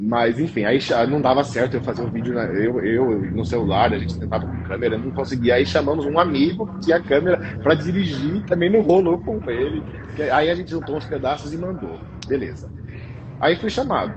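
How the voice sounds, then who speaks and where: Through noticeable background noise, a man talks at a fairly quick pace and medium pitch, with very wide pitch swings. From interior of São Paulo state, Brazil. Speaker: pastry chef. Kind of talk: interview. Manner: halting, repeats words.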